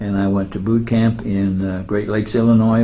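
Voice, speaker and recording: The speaker has an American accent and a dark, mellow tone that is somewhat breathy. The pace is fairly quick, with audible room echo. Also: man. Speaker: war veteran. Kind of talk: interview. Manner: halting.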